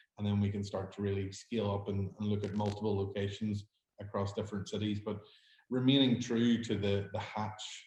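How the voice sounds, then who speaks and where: A somewhat breathy, fairly low-pitched man's voice in a Northern Irish accent, at a fairly quick pace. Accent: Derry Northern Irish. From Northern Ireland, Derry. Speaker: hospitality startup founder. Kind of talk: pitch Q&A.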